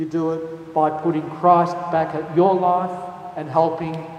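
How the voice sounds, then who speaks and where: A man with an Australian accent talks at a fairly slow pace, with audible room echo and noticeable background noise. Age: 60s. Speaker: archbishop. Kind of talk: talk to a youth audience.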